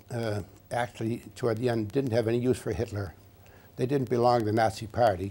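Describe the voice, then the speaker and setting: A man's somewhat breathy, dark, mellow voice of medium pitch, with fairly even intonation at a moderate pace. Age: 80s+. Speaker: war veteran. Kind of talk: interview. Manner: halting.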